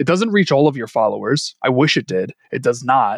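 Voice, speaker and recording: At a fairly quick pace, a man talks in a fairly high pitch, the sound dry and close with no echo. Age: 30s. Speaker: podcaster and entrepreneur. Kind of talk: casual chat. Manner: animated.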